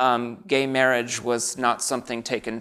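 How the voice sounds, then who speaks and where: A man with an American accent talks at a fairly quick pace. His medium-pitched voice has a bright, sharp tone. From US Midwest, Naperville, Illinois (Chicago suburb). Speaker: author. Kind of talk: interview. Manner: halting.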